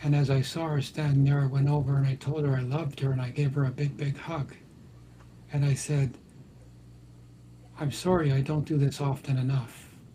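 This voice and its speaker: A man speaks fairly quickly in a fairly high, dark, mellow voice that is somewhat breathy. His intonation is monotone and flat, broken by long, frequent pauses. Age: 70s. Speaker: talk show host and dream interpreter. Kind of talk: live talk show discussion.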